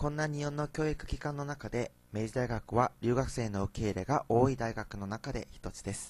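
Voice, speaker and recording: Moderate pace with hardly any pauses, ordinary pitch variation and a Korean accent. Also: man, medium pitch for a man. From South Korea. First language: Korean (speaking Japanese). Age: young. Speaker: university student. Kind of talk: student presentation.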